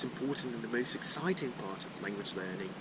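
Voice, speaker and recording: A man talks while noticeable background noise continues behind him. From Brazil, Sao Paulo. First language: Portuguese. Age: 20s. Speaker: language learner, polyglot. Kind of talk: casual chat. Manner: halting, many fillers.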